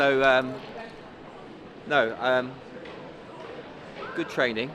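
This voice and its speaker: Speaking at a fairly slow pace with medium pitch, a man is heard through audible room echo and noticeable background noise. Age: 50s. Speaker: running coach. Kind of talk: interview.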